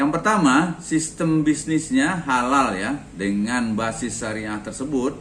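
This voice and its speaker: A man is speaking. Audible echo fills the room. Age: 60s. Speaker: retiree and organic fertilizer sales agent. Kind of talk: talk sharing personal experience. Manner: conversational with frequent fillers.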